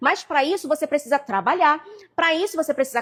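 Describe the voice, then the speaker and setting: A woman sounds animated, her high pitch moving with ordinary variation. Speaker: preacher. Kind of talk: live sermon. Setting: social media livestream. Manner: fast.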